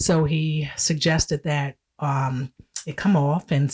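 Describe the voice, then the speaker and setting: This woman speaks with a very deep, low pitch and a somewhat breathy quality. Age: 60s. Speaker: retired cosmetology educator and cancer survivor. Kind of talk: personal testimony in casual chat. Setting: video podcast recording.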